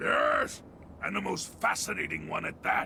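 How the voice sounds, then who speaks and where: A raspy, put-on character voice at a moderate pace. Background noise is clearly audible. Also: man. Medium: machinima. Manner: formal, courteous.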